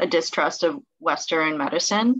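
Her pitch fairly low yet swinging very widely, a woman speaks against a quiet background. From Southern California. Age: 20s. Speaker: medical student; presenter. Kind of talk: presentation. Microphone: webcam.

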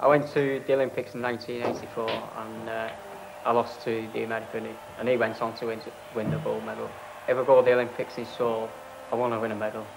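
The speech comes at a fairly quick pace in a monotone, flat intonation, with noticeable background noise. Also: man, medium pitch for a man. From northern England, St Helens, Lancashire. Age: 20s. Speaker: amateur boxer. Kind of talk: interview. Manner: halting. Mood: modest, hopeful.

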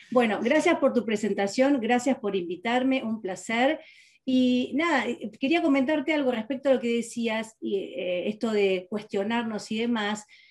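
The background is quiet as a woman speaks. Her fairly high pitch shows ordinary variation. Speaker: metaphysics teacher and therapist; guest. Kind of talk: interview. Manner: fast. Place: home room. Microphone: webcam.

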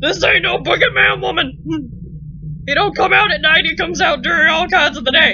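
Over clear background noise, a man uses a raised, projected put-on character voice at an extremely high pitch. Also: moderate pace. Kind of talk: colloquial, dialect-like grammar. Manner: exasperated, insisting.

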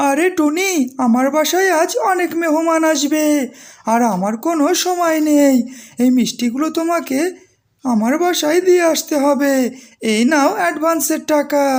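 The voice is cartoonish, a character voice with a high pitch. It moves at a moderate pace. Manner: insistent, hurried.

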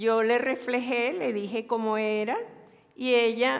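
A woman's fairly high voice at a very slow pace. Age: 70s. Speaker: retired doctor, camp participant; public speaker. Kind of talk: public talk. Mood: warm, slightly nervous. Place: hall. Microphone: lapel.

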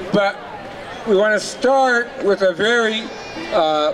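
A man speaks at a very slow pace with a high pitch for a man and ordinary pitch variation. Noticeable background noise is present. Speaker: rally organizer. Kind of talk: rally announcements. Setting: outdoor rally. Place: street.

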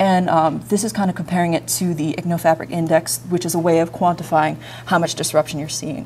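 With light background noise, a woman in a normal speaking voice talks at a fairly quick pace, her pitch fairly low with ordinary variation. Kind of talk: lecture. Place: classroom.

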